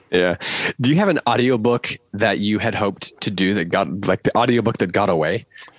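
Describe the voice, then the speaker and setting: A man in a normal speaking voice talks at a fairly quick pace with fairly low pitch, ordinary pitch variation and very even loudness, in a dry, close sound with no echo. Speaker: podcast host. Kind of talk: casual interview.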